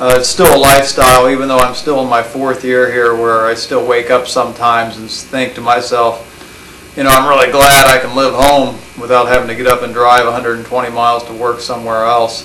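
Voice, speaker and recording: Over noticeable background noise, a man with an American accent talks fairly quickly at medium pitch in a monotone, flat intonation. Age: 30s. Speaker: college professor. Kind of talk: personal recorded monologue. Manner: reflective, hesitant with many fillers.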